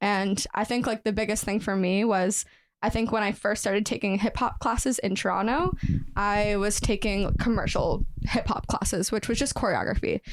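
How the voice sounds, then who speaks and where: At a moderate pace, a woman with an unremarkable speaking voice talks at a medium pitch with fairly even intonation and very even loudness, on a very clean recording with a silent background. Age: 20s. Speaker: professional dancer and nutritionist. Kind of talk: podcast interview.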